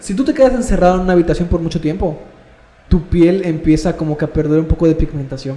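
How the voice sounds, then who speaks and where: Amid noticeable background noise, a man with a Mexican accent and a high pitch talks at a very fast pace with ordinary pitch variation. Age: 20s. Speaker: university student, podcast co-host. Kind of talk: casual chat.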